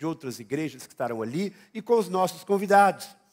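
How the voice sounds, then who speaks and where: Speaking at a moderate pace, a man with a high voice uses lively intonation. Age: 60s. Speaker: pastor. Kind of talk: sermon. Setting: church.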